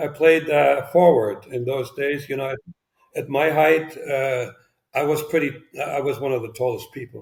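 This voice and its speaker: A man with a slight German accent speaks at a moderate pace. His fairly high pitch carries fairly even intonation. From East Germany. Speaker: former spy. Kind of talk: interview. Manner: halting.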